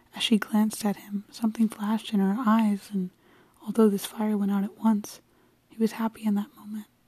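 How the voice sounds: The clip features a natural reading voice.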